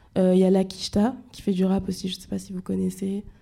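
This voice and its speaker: A woman speaks at medium pitch in a dark, mellow tone that is somewhat breathy. The recording is very clean, with a silent background. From France, Orléans. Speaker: rapper. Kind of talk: interview.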